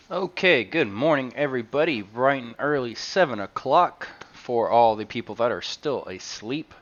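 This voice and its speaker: The speech moves at a moderate pace with hardly any pauses and lively intonation. Loudness swings a lot, and there is noticeable background noise. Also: man, medium pitch for a man. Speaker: game streamer. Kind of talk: live gameplay stream commentary. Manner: soft-spoken; hesitant, many fillers.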